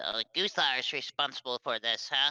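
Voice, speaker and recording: A man performs in a put-on character voice. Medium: actual play.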